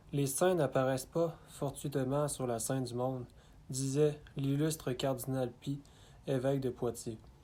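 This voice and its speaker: A man speaks very slowly with a Canadian French accent, his medium-pitched voice dark and mellow and his intonation fairly even. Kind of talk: religious biography reading.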